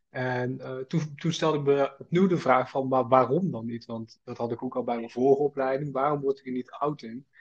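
Using an ordinary speaking voice, a man speaks at a medium pitch and fairly quick pace, with fairly even intonation and big swings in loudness. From North Brabant, Netherlands (Schaijk). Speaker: student entrepreneur. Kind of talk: casual interview.

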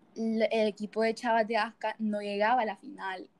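A woman speaks at a fairly slow pace with a fairly high pitch. The sound is dry and close, with no echo. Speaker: student volleyball player. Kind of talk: casual interview.

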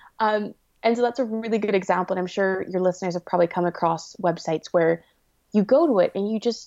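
A woman with a Canadian accent speaks at a very fast pace, her tone dark and mellow. Her pitch is medium, with ordinary variation. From Canada. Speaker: web designer and entrepreneur. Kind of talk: interview.

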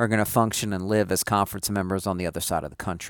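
This man talks at a fairly quick pace with a fairly low pitch in an ordinary speaking voice. The sound is dry and close, with no echo. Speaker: sports radio host. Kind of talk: sports talk radio monologue, with breaks and callers. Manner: fluent, upbeat radio patter.

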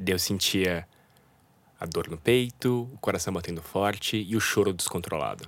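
The recording is very clean, with a silent background. A man speaks at a fairly low pitch with ordinary pitch variation. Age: 30s. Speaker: illustrator and art director. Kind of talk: interview about mental health.

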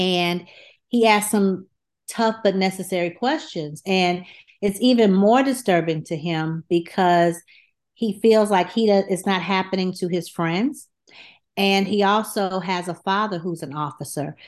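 Speaking fairly slowly, a woman has an American accent and a medium pitch. Her pitch varies in an ordinary way. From US South, Atlanta, Georgia. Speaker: children's book author and educator. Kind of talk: interview. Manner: halting, with frequent fillers.

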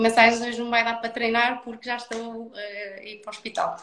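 A woman speaks with a northern Portuguese accent at a fairly high pitch. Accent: northern European Portuguese. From northern Portugal, Felgueiras near Porto. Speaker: personal trainer for pregnancy and postpartum. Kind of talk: interview. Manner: halting, many repetitions.

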